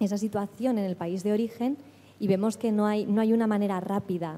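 A soft-spoken woman with a medium-pitched voice. Her tone is dark and mellow. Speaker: lawyer at an NGO, audience member asking a question. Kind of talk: audience question at a seminar.

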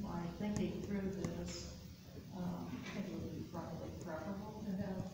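A woman at a moderate pace, with noticeable background noise and strong room echo. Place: meeting room. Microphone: camera far.

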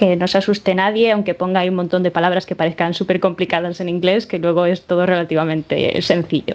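Delivered in a flat monotone at a very fast pace, this voice has a Spanish accent. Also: woman, fairly low pitch for a woman, hardly any pauses. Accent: Spanish (Spain). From Spain, Málaga; Spain. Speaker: software developer. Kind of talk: conference talk. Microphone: video call.

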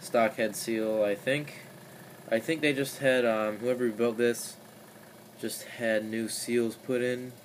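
A man at a very slow pace and medium pitch, fairly even in intonation, over light background noise. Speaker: DIY mechanic. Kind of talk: tutorial. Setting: home garage workshop. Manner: casual, halting. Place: workshop. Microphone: phone near.

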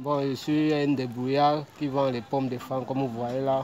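A man at a fairly slow pace, monotone, flat intonation, light background noise. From Cameroon, South-West Region (Buea/Limbe). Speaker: street fruit vendor. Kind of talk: interview. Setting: outdoors. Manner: halting. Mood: relaxed, friendly. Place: street. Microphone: phone near.

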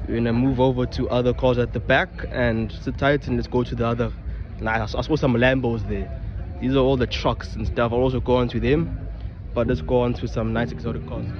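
At a fairly quick pace, the voice comes through with a dry sound with no echo and noticeable background noise. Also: man. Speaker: car show visitor vlogger. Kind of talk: casual vlog chat. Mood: excited, admiring. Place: open country. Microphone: phone near.

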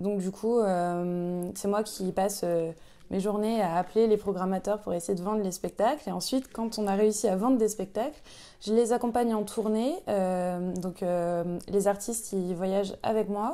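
At a fairly slow pace, a woman speaks at a medium pitch in a dark, mellow tone with fairly even intonation. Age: 20s. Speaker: arts production manager. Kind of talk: interview testimony. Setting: chapel. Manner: hesitant, many fillers. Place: office. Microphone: lapel.

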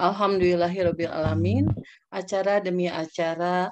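A woman with an unremarkable speaking voice talks fairly slowly at a fairly low pitch with ordinary pitch variation. Light background noise is present. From Indonesia. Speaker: webinar moderator. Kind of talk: formal moderation. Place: home room. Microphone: video call.

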